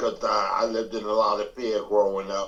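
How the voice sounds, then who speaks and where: A normal speaking voice at a moderate pace. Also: man. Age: 60s. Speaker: AA meeting member sharing recovery. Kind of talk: testimony.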